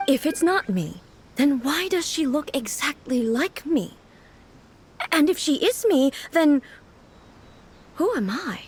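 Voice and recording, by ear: A woman's put-on character voice, high-pitched and slow, with big pitch swings and long, frequent pauses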